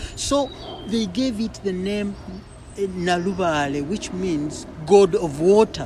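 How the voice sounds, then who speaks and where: Noticeable background noise sits under speech that proceeds very slowly. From Uganda. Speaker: poet. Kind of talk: interview conversation. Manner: halting, many repetitions.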